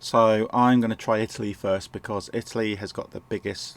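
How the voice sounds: A man talks at a fairly low pitch with vocal fry.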